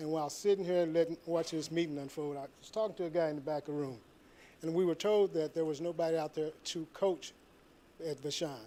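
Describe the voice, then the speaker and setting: Speaking at a fairly quick pace, a man with an American accent uses fairly even intonation and a dark, mellow tone at a fairly high pitch. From St. Louis, Missouri. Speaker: public commenter, military veteran. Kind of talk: public comment at board meeting. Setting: public meeting room.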